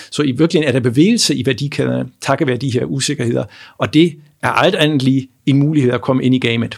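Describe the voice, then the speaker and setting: Talking at a very fast pace, a man shows vocal fry and ordinary pitch variation. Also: medium pitch for a man. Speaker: economics professor. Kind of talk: interview. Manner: halting, many repetitions.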